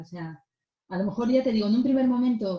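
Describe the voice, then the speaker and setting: A woman speaks in a somewhat breathy voice with a dark, mellow tone. Her pitch is fairly high, with ordinary variation. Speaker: mediator. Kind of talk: lecture.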